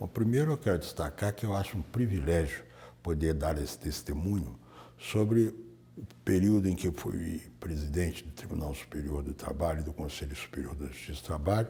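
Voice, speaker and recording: A man speaks at a moderate pace with a very deep, low pitch and vocal fry. His tone is dark and mellow, his intonation lively. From Minas Gerais, Brazil. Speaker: retired high court judge. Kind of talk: oral history interview answer.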